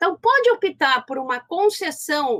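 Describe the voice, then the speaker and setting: In a Rio Grande do Sul accent, a woman with a bright, sharp tone speaks at a very slow pace with very wide pitch swings. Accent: Rio Grande do Sul (gaúcho). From southern Brazil, Porto Alegre. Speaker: law professor. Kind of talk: lecture. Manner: halting, many fillers and restarts.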